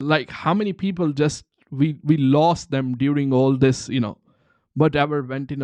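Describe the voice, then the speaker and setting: A man with a Punjabi accent at a medium pitch, fairly even intonation, moderate pace, and a quiet background. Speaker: online seller and livestream host. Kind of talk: live Q&A stream. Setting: live stream. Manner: halting, repetitive fillers.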